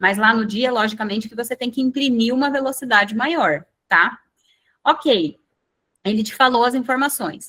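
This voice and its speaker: A woman talks at a high pitch with a bright, sharp tone. She leaves long, frequent pauses and uses ordinary pitch variation. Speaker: medical exam prep instructor. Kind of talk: online lecture. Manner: slow, deliberate explaining.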